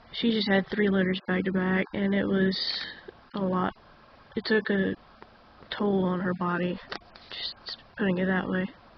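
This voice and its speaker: A woman's medium-pitched, flat, monotone voice over noticeable background noise. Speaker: journaling YouTuber. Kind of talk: casual talk to camera.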